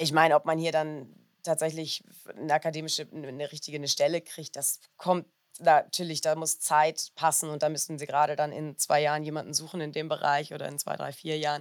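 A woman's very deep, low-pitched monotone, fairly quick, with big swings in loudness. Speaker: doctoral student and former lawyer. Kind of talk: interview. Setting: festival.

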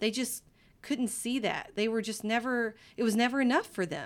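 A fairly high-pitched woman with a Texan accent in a very clean recording with a silent background. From East Texas. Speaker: guest, mother. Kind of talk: casual chat.

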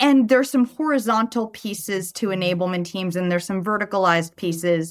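Her intonation is lively, and the recording of this woman is very clean with a silent background. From US West Coast, Los Angeles (San Fernando Valley). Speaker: sales enablement leader. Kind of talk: interview.

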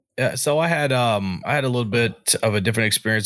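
A man with an American accent uses a plain, everyday voice at a fairly quick pace. His pitch varies in an ordinary way, and the recording is very clean with a silent background. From North Carolina. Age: 20s. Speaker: army veteran, podcaster. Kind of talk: casual chat.

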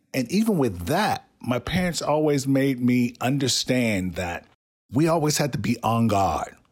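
A man with an American accent speaks at a fairly slow pace. His pitch swings very widely while his loudness stays very even. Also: medium pitch for a man. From US South. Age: 50s. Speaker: podcast host. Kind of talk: personal storytelling.

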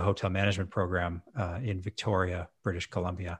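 In a very clean recording with a silent background and a dry, close sound with no echo, a man with a Canadian accent speaks somewhat breathily. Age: 40s. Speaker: hotel management consultant. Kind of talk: casual chat.

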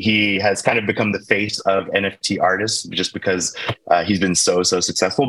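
This man has an unremarkable speaking voice with a fairly low pitch. He talks at a fairly quick pace. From US, Baltimore, Maryland. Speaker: tech company founder. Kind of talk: interview.

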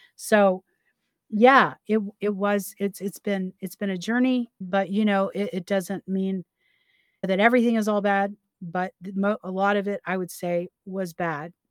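A woman with a Southern US accent speaks fairly slowly at a medium pitch with fairly even intonation, the sound dry and close with no echo. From US South. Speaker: podcast co-host. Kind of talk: personal testimony. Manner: halting.

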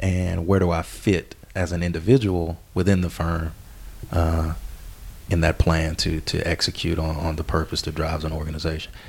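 In a Southern US accent, the somewhat breathy voice keeps a fairly even intonation. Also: man. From US South, southern Arkansas. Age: 20s. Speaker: business consultant. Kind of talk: casual interview.

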